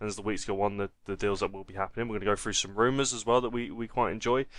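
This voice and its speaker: A man with a strong Essex accent, medium pitch and fairly even intonation, over a quiet background. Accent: Essex, stronger than usual. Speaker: football podcast host. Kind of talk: casual chat.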